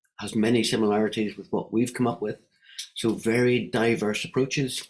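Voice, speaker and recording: With a Northern Irish accent, a man speaks at a moderate pace. His pitch sits in the medium range. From Northern Ireland. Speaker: wellbeing economy advocate. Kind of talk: online panel discussion.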